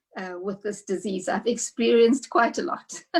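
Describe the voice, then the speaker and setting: The woman has a fairly high pitch and an ordinary speaking voice. She goes at a fairly slow pace with ordinary pitch variation. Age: 60s. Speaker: patient living with sickle cell. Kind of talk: personal testimony on panel.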